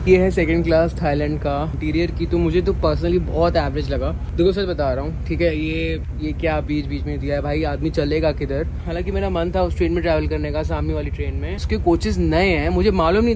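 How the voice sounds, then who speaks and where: A man speaks with a very deep, low pitch and fairly even intonation at a moderate pace, with hardly any pauses. Noticeable background noise is present. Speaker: travel vlogger. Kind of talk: casual vlog chat. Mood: mildly critical, chatty. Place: train. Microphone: phone near.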